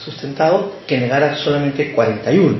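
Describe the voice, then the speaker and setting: Fairly high-pitched man at a moderate pace, with audible room echo and noticeable background noise. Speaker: lay preacher. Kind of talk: sermon. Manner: hesitant, many fillers.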